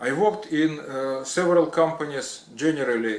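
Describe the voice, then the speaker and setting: With a non-native accent, a man talks at a very slow pace in a fairly high pitch with ordinary pitch variation. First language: not English. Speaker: retired electrician. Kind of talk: personal story. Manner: halting, many fillers.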